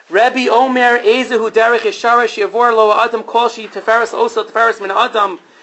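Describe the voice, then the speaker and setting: Over noticeable background noise, a man speaks in an animated tone at an extremely high pitch. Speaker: rabbi and teacher. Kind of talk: lecture. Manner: fast.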